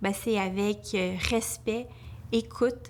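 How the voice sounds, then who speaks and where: Moving at a very slow pace, the woman's voice holds fairly even intonation. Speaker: family lawyer. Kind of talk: testimony. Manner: halting.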